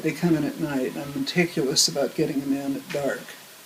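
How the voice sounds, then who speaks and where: A woman with a very deep, low pitch and fairly even intonation, amid noticeable background noise. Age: old. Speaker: animal rescuer. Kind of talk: interview answer.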